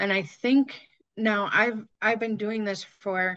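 A woman's bright, sharp tone with fairly even intonation. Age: 50s. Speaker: fitness content creator. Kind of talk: casual chat.

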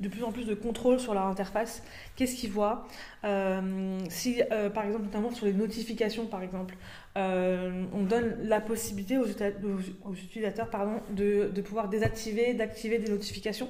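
At a moderate pace, a woman with a dark, mellow tone and a fairly high pitch speaks in a monotone, flat way, with audible room echo. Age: 20s. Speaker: UX designer. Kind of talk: casual chat.

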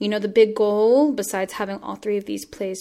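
A woman's normal speaking voice with an American accent, medium pitch and ordinary pitch variation, in a very clean recording over a silent background. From Washington State, US. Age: 20s. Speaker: playwright and arts activist. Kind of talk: interview conversation.

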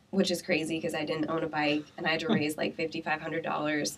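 A woman with an American accent and a fairly low pitch talks over noticeable background noise. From Iowa (Pella). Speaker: entrepreneur. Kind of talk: interview.

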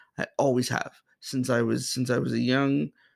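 A man with an American accent speaks in an ordinary speaking voice at medium pitch, a moderate pace and fairly even intonation. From Boston, Massachusetts, US. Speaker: podcast host and filmmaker. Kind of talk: personal monologue.

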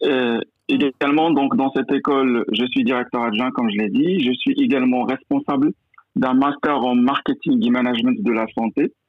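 A man's voice at a moderate pace with very even loudness. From Morocco, rural mountain village. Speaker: university professor and business school director. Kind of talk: interview. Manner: hesitant, many repetitions.

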